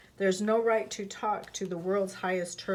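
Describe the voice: The delivery is plain reading aloud. Intonation stays fairly even.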